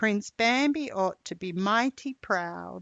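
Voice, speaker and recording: A woman uses a put-on character voice at medium pitch. She speaks at a fairly slow pace. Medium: read story. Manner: folksy, grumbling.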